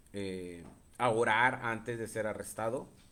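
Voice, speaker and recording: Audible room echo fills the space around a man's voice. His pitch is medium and his intonation fairly even. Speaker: preacher. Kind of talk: sermon. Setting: live stream.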